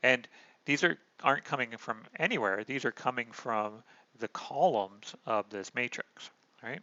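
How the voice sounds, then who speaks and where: Speaking fairly slowly at a medium pitch, a man uses an ordinary speaking voice with ordinary pitch variation. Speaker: math lecturer. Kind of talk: lecture. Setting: online recorded lecture.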